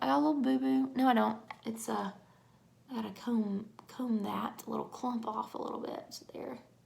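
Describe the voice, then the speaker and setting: Against noticeable background noise, a woman at a medium pitch lets her pitch swing very widely. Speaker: makeup tutorial vlogger. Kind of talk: tutorial. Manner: casual, chatty.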